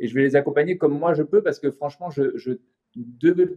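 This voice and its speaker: A man is talking at a moderate speed. His voice sits fairly high. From southern France, Montpellier. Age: 40s. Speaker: animation studio director. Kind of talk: podcast interview. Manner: hesitant, many fillers.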